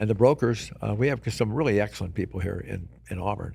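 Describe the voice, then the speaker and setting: A man with an American accent talks at a fairly quick pace with vocal fry, on a very clean recording with a silent background. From California (Oakland). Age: 80s+. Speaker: retired insurance broker. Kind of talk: podcast interview. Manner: halting, with many fillers and restarts.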